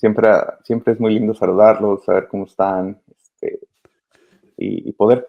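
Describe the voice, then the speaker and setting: In a normal speaking voice, a man of medium pitch talks at a fairly slow pace. His intonation stays fairly even. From Mexico, Michoacán. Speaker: migrant children's advocate. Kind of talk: interview.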